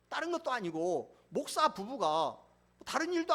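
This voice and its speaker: Speaking at a moderate pace, a man's extremely high voice swings very widely in pitch. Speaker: pastor. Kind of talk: sermon.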